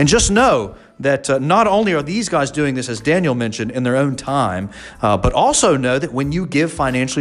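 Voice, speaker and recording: A man at a fairly quick pace, fairly high in pitch with very wide pitch swings, over noticeable background noise. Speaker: pastor and church podcast host. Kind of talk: casual chat. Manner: fast.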